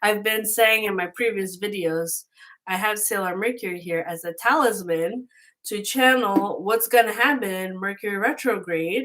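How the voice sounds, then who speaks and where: A woman's ordinary speaking voice at medium pitch and moderate pace, with ordinary pitch variation. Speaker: tarot reader. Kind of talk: tarot reading monologue. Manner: casual.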